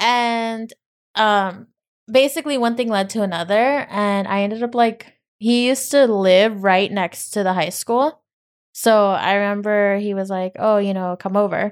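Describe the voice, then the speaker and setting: In a very clean recording with a silent background, a woman with an unremarkable speaking voice talks at a fairly slow pace, medium in pitch, with ordinary pitch variation. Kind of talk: casual chat. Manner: bantering, sarcastic.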